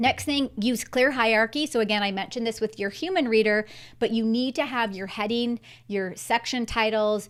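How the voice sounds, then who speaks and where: Recorded very cleanly against a silent background, a woman speaks at a fairly high pitch with ordinary pitch variation. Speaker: career coach and professor. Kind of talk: live stream Q&A tutorial. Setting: live stream. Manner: fast; animated.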